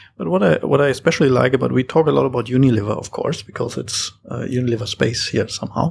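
A man with a German accent talks at a very fast pace. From Germany, Hamburg. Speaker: startup founder. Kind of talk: panel discussion.

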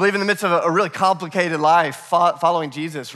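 This is a male speaker. The rise and fall of his pitch is ordinary. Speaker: preacher. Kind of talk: sermon. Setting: church. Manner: animated, repetitive phrasing.

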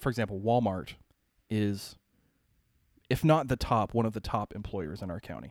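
A man with a normal speaking voice and an American accent talks with ordinary pitch variation, the sound dry and close with no echo on a very clean recording with a silent background. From Ohio and Pennsylvania. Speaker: city services worker. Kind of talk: casual chat.

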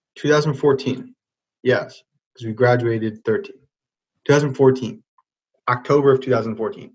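A somewhat breathy man at a medium pitch with ordinary pitch variation, very slow, with long, frequent pauses. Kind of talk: casual chat.

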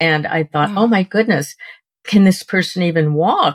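A woman speaks at a moderate pace with ordinary pitch variation in an unremarkable speaking voice, with a dry, close sound and no echo. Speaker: podcast co-host. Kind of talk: interview.

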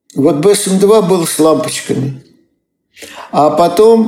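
A very slow delivery with audible room echo. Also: man. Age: 80s+. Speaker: retired Soviet computer engineer. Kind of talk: interview storytelling. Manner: halting.

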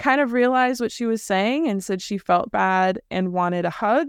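In a very clean recording with a silent background and a dry, close sound with no echo, a woman with an American accent uses a normal speaking voice, fairly high in pitch with ordinary pitch variation. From California, Bay Area. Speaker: illustrator. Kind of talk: interview.

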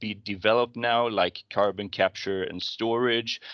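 Against a quiet background, a man with a Swedish accent speaks at a fairly slow pace in a bright, sharp tone with fairly even intonation. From Sweden. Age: 40s. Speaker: fund manager. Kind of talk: interview.

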